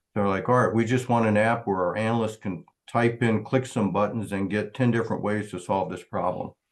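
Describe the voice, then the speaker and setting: A man speaks in a normal speaking voice at a moderate pace, his pitch fairly low. His intonation stays fairly even against a quiet background. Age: 60s. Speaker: startup founder presenting. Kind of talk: Q&A at entrepreneur meetup.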